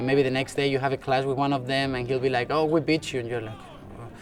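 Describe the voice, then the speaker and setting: A man with a Spanish accent speaks at a very fast pace in a medium pitch. His intonation is monotone and flat, with noticeable background noise behind him. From Spain. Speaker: university student soccer player. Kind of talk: interview.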